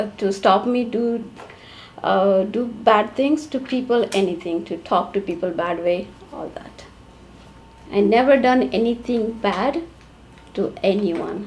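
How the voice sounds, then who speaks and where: Amid noticeable background noise, a woman speaks at a fairly slow pace with lively intonation and long, frequent pauses. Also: fairly high pitch for a woman. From India. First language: an Indian language. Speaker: immigrant domestic worker. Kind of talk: interview testimony. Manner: halting.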